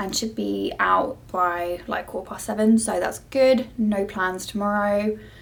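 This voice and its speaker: A somewhat breathy woman's voice with a British accent and ordinary pitch variation. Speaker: cabin crew vlogger. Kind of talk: vlog.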